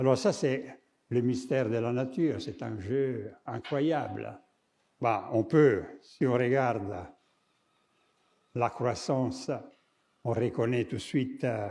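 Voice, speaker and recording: A man speaks at a very slow pace with long, frequent pauses and ordinary pitch variation. His tone is dark and mellow, and the recording is very clean with a silent background. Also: medium pitch for a man. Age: 70s. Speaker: architect and artist, lecturer. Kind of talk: lecture. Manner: halting, with many hesitations.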